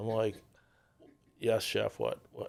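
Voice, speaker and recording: On a very clean recording with a silent background, a man's speech proceeds at a moderate pace. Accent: New Orleans. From New Orleans. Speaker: restaurateur. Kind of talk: casual interview chat.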